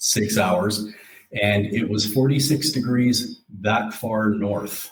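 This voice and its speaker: A man speaks with a western Canadian accent. His voice is fairly low and somewhat breathy. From Alberta, Canada (Calgary). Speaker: insurance fleet safety specialist. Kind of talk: casual interview. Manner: halting, many fillers.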